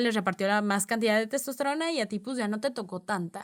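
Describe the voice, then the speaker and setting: Woman with a fairly high voice and ordinary pitch variation at a moderate pace, in a very clean recording with a silent background. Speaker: podcast host. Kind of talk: educational podcast monologue.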